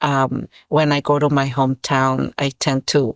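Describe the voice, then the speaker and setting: A woman with a Spanish accent speaks at a very deep, low pitch, recorded very cleanly against a silent background with a dry, close sound and no echo. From Mexico, Guerrero (Iguala). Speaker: author. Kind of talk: interview. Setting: school podcast interview. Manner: hesitant, many fillers and repetitions.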